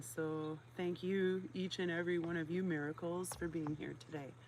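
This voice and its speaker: Speaking at a fairly slow pace, a woman uses a fairly low pitch. Her pitch varies in an ordinary way. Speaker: livestreamer reading a book aloud. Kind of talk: casual chat. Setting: outdoors. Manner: loud; animated. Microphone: poor audio.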